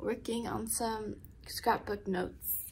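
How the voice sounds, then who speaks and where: A woman speaks at a fairly slow pace with fairly even intonation, light background noise behind her. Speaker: student vlogger. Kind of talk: casual vlog chat. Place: home room. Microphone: phone near.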